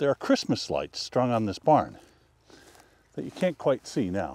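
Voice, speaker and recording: At a moderate pace, a man's voice makes very wide pitch swings, recorded dry with no echo. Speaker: photographer vlogger. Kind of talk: casual vlog chat. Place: open country. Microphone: lapel.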